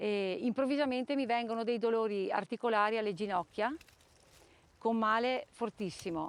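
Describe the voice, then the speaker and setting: Speaking in an ordinary speaking voice, a woman has a fairly high pitch, ordinary pitch variation and a moderate pace. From Trentino, northern Italy. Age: 50s. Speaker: person living with chronic illness. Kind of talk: testimony.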